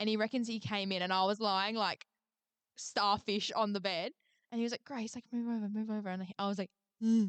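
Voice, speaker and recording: On a dry, close recording with no echo, a woman talks at a fairly quick pace in an unremarkable speaking voice of medium pitch with fairly even intonation. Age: 20s. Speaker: podcast co-host. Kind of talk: casual chat.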